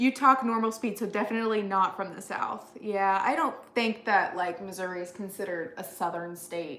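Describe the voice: A woman at a medium pitch and moderate pace, with ordinary pitch variation and hardly any pauses, over noticeable background noise.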